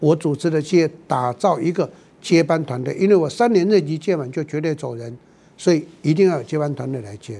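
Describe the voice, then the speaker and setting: This man has a fairly high pitch and a dark, mellow tone. He moves at a fairly quick pace with lively intonation and big swings in loudness. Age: 70s. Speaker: business consultant and professor. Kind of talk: podcast monologue.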